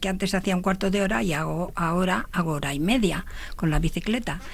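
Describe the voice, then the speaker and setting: A woman at a medium pitch with lively intonation and a moderate pace, amid noticeable background noise. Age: 70s. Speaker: amateur runner. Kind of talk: radio interview.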